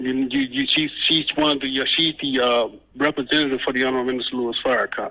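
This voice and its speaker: Over noticeable background noise, a man with a medium pitch speaks at a fairly quick pace in a monotone, flat intonation. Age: 50s. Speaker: caller, Nation of Islam member. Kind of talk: call-in encouragement.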